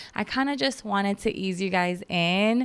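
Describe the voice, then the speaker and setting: With a slight Filipino accent, a woman speaks at medium pitch and a fairly slow pace. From Philippines, Baguio City. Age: 30s. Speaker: podcast host. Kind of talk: casual chat.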